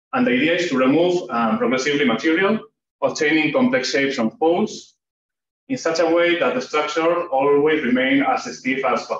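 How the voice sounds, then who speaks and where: A man speaks with a Spanish accent at a fairly quick pace. His pitch swings very widely while his loudness stays very even. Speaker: PhD student presenting research. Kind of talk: academic seminar talk. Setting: seminar room with audience. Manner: hesitant, with frequent fillers.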